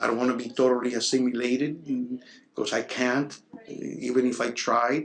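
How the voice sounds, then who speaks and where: A man with a Spanish accent talks at a moderate pace and medium pitch, his intonation monotone and flat. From Cuba. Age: 60s. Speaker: Cuban exile interviewee. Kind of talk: interview testimony.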